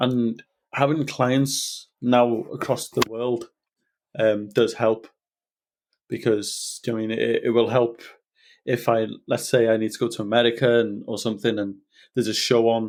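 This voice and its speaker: With a Welsh accent, a man speaks at a moderate pace and medium pitch in a monotone, flat intonation, leaving long, frequent pauses in a very clean recording with a silent background. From North Wales. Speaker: nutritionist and personal trainer. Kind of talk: casual interview. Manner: halting, repeats words.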